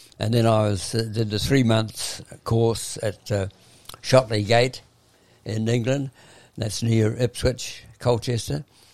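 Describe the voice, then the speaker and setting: Fairly low in pitch, a man speaks with fairly even intonation and a New Zealand accent. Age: 80s+. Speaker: retired running coach. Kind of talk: interview. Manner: halting.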